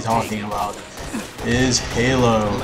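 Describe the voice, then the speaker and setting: Noticeable background noise mixes with audible room echo throughout. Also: man. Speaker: gaming youtuber. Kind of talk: gameplay commentary. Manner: hesitant, many fillers.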